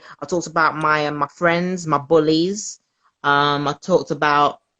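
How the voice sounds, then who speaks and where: In a South London accent, a woman speaks at a moderate pace with a very deep, low pitch and fairly even intonation, in a dry, close sound with no echo. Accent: South London, multicultural London English. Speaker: comedian. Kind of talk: casual interview chat.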